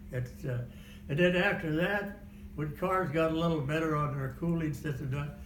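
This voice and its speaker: With an American accent, a man talks at a moderate pace in a fairly high pitch with ordinary pitch variation, amid audible room echo and noticeable background noise. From Kansas. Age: 90s. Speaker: war veteran. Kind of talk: oral history interview. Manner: halting.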